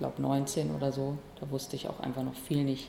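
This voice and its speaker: A woman with a very deep, low pitch speaks at a moderate pace. Noticeable background noise and audible room echo surround her voice. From Bielefeld, Germany. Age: 20s. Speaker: comedian and musician. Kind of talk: interview.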